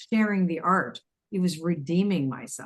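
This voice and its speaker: Here a woman talks with lively intonation. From Canada. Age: 60s. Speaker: intuitive teacher and author. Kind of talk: interview conversation. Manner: halting, with false starts.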